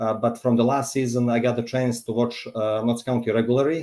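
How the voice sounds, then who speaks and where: In a very clean recording with a silent background, a man speaks fairly quickly at a medium pitch in a Montenegrin accent, his tone dark and mellow and his intonation flat and monotone. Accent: Montenegrin accent, noticeable. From Montenegro. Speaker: football fan. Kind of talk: casual chat. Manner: halting.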